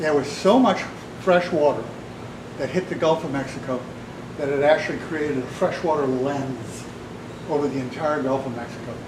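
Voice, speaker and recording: A man with a fairly high pitch and ordinary pitch variation talks at a moderate pace, with long, frequent pauses. Noticeable background noise and audible room echo are present. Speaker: artist giving a talk. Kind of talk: public talk to an audience. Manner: loud; passionate.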